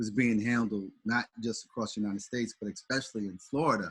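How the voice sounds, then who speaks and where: A man speaks in an American accent. His pitch is medium and his intonation fairly even. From St. Louis, US Midwest. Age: 60s. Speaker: pastor. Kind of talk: casual chat. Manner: halting.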